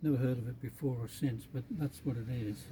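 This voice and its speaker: Somewhat breathy and dark, mellow in tone, a man speaks with an Australian accent and ordinary pitch variation. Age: 80s+. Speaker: classic car owner. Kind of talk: casual interview. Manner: halting.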